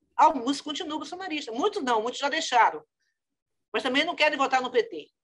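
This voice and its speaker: A woman speaks with lively intonation. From Bahia, northeastern Brazil. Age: 70s. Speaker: politician and doctor. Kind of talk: interview. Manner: hesitant, repeating words.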